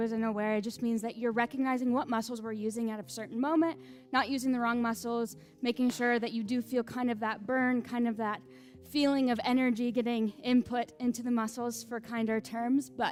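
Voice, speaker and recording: A woman talks at a fairly quick pace. Her voice is fairly high-pitched. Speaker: fitness instructor. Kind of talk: guided exercise class. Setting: live class streamed online. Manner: fast.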